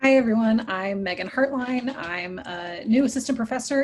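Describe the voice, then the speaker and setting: A woman speaks with an American accent in a plain, everyday voice. Her pitch is fairly high and varies in an ordinary way. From Texas. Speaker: assistant professor of English. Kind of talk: self-introduction in meeting.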